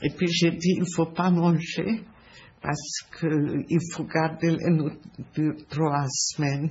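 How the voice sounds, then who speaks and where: In a Hungarian accent, a woman speaks at a very slow pace with very deep, low pitch. Her intonation is monotone and flat, with light background noise. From Hungary. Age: 80s+. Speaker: Holocaust survivor. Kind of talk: interview answer. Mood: sad, reflective memories.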